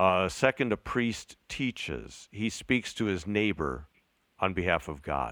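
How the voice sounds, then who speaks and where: A man speaks with a very deep, low pitch, vocal fry and very wide pitch swings at a fairly slow pace. The sound is dry and close, with no echo. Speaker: podcast co-host. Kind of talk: casual chat. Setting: remote recording.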